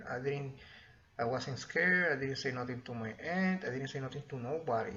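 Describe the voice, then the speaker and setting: At a fairly quick pace, a man with a Spanish accent speaks at a medium pitch with ordinary pitch variation. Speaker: YouTuber sharing experiences. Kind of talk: personal storytelling. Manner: halting, casual.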